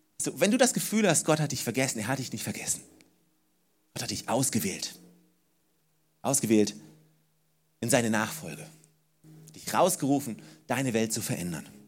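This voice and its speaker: A man's warm, medium-pitched voice at a moderate pace, with very wide pitch swings, big swings in loudness, long and frequent pauses, and music in the background. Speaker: preacher. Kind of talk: sermon. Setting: church. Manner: animated, emphatic, repeating key phrases to drive them home; warm, direct address to the congregation.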